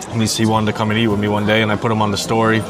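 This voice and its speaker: A man's fairly low, monotone, flat voice with an American accent at a very fast pace, with audible room echo and crowd noise in the background. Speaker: food content creator. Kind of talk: live podcast interview. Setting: diner with live audience. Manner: quiet, low-talking.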